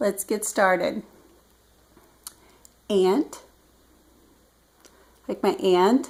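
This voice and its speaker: With a Midwestern US accent, a woman speaks at a very slow pace, leaving long, frequent pauses. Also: medium pitch for a woman, lively intonation. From US Midwest. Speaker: retired government official. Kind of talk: casual talk to camera.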